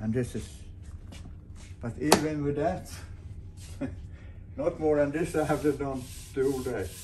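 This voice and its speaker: With noticeable background noise behind him, a man speaks at a fairly slow pace with ordinary pitch variation and long, frequent pauses. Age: 80s+. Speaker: solo sailor and boat builder. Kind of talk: casual video diary. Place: workshop. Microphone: phone near.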